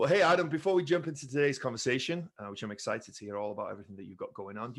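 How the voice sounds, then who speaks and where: Energetic in tone, a man speaks at a very fast pace with very wide pitch swings. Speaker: podcast host, former wrestler. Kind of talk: interview.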